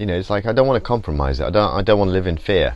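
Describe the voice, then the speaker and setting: A man speaks at a very fast pace. His voice is very deep and low, and the sound is dry with no echo. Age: 50s. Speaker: painter. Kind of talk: casual chat. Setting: studio. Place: workshop.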